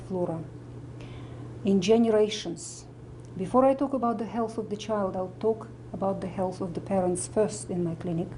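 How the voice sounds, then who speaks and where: A woman with a Russian accent speaks at a moderate pace and medium pitch, her dark, mellow tone touched with vocal fry and lively intonation, in a room with audible echo. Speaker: medical doctor and nutritionist. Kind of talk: interview talk.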